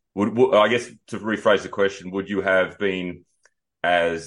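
A man's very deep, low voice with an Australian accent, at a fairly quick pace, with ordinary pitch variation and a quiet background. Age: 40s. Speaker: podcast host and bodybuilding coach. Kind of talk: interview.

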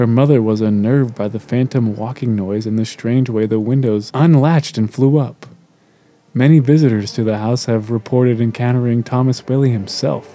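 With a dark, mellow tone and a dramatic delivery, a man talks at a moderate pace in a medium pitch, his intonation fairly even. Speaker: podcast host. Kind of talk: ghost story telling, reading aloud.

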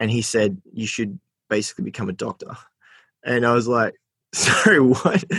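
Dry, close sound with no echo: a man with an Australian accent at medium pitch, a moderate pace and long, frequent pauses. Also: ordinary pitch variation. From New South Wales, Australia (Port Macquarie, Armidale). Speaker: social enterprise founder. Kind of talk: interview. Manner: casual, filler-heavy.

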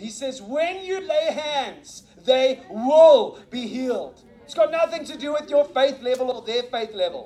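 A man speaks at a fairly slow pace with a South African accent, his pitch extremely high and his tone animated. His intonation is lively, his loudness swings widely, and background noise is noticeable. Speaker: visiting preacher. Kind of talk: sermon. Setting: church.

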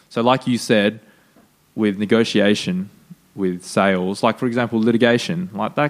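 This man has an Australian accent. He speaks at a medium pitch and a fairly quick pace. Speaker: podcast host. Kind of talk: casual interview.

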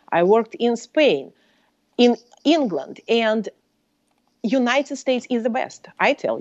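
A woman's high-pitched voice in a Russian accent, with lively intonation, a fairly slow pace and long, frequent pauses. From Soviet Union. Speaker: professor and author. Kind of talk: casual interview.

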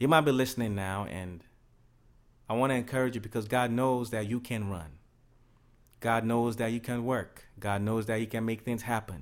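A man at medium pitch talks at a moderate pace with fairly even intonation and long, frequent pauses. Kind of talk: sermon-style talk.

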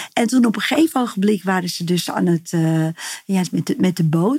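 Her medium-pitched voice has a dark, mellow tone and is somewhat breathy. The woman's intonation is lively. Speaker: healer. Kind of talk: interview, personal story. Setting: in person at her practice space.

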